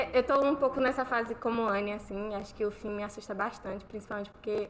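A normal speaking voice from a woman, fairly high in pitch, with ordinary pitch variation and a moderate pace. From Bahia, Brazil. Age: 20s. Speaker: university student. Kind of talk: casual chat. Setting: live stream with panel.

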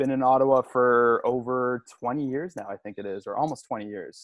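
Speaking at a moderate pace and medium pitch, a man with a Canadian accent has a plain, everyday voice. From Montreal area, Canada. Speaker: podcast co-host, father. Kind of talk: casual chat.

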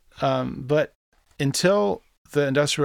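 A man with a normal speaking voice, at a moderate pace and ordinary pitch variation, on a very clean recording with a silent background. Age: 30s. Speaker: musician and marketing consultant. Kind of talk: casual interview. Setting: in person.

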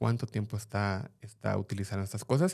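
With a dark, mellow tone and fairly low pitch, a man speaks with ordinary pitch variation in a very clean recording with a silent background. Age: 40s. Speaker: parent, digital safety speaker. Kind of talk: casual chat.

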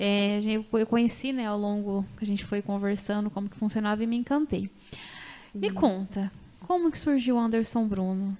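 Her tone dark and mellow, a woman speaks at a moderate pace and medium pitch with ordinary pitch variation. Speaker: podcast host and doula. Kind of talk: casual chat. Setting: studio. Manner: animated.

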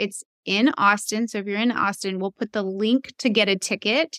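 In a normal speaking voice with an American accent, a woman talks at medium pitch and a moderate pace with ordinary pitch variation, her sound dry and close with no echo on a very clean recording with a silent background. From US South. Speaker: podcast host and physician. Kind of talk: interview conversation.

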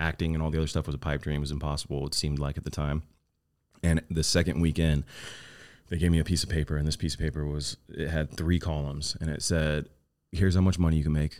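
A man's very deep, low voice in a Southern Californian accent, very fast and monotone with flat intonation. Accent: Southern California American. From Orange County, California. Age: 30s. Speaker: actor and entrepreneur. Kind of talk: casual chat.

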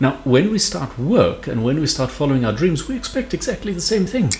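Noticeable background noise fills the recording. Through it, a man speaks at a fairly quick pace. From South Africa, Mpumalanga (Witbank). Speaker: leadership coach and radio presenter. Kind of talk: casual radio interview chat.

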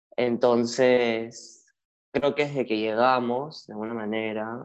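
A man talks at a very slow pace with a medium pitch. His intonation is monotone and flat. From Peru (Lima). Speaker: social media content creator. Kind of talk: casual interview conversation.

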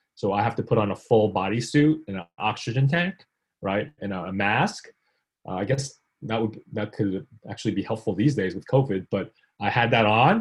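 Somewhat breathy, a man with an American accent talks at a medium pitch with ordinary pitch variation. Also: moderate pace. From US, from South Korea at age five. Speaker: technology executive and adjunct professor. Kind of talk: talk with Q and A. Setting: video call.

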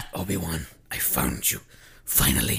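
A man puts on a raspy character voice with a very deep, low pitch. He talks at a moderate pace. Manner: deranged, fierce, obsessed.

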